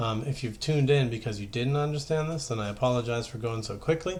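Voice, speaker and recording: With ordinary pitch variation, a man talks at a fairly quick pace in a medium-pitched voice. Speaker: high school math teacher. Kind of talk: tutorial. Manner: fast.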